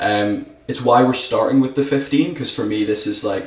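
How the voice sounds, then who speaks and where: A man with a Scottish accent and ordinary pitch variation, amid noticeable background noise and audible room echo. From Scotland. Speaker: whisky brand ambassador. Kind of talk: casual podcast chat, whisky tasting.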